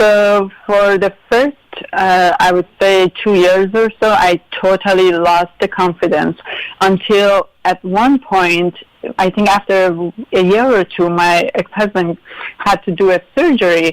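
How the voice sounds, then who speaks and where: Recorded with a dry, close sound and no echo, a woman with a Persian accent speaks at a fairly slow pace, keeping fairly even intonation and very even loudness. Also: medium pitch for a woman. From Iran. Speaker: interview guest. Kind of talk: interview. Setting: live radio show.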